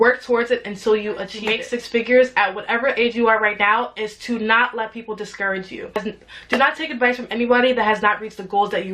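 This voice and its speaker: A woman speaks very fast in an animated tone. Her fairly high voice comes through noticeable background noise. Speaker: YouTuber and entrepreneur. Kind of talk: motivational talk to camera.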